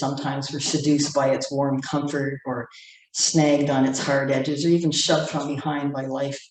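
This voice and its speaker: At a fairly quick pace, a woman speaks with a very deep, low pitch, and audible room echo is present. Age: 70s. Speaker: poet. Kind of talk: poetry reading.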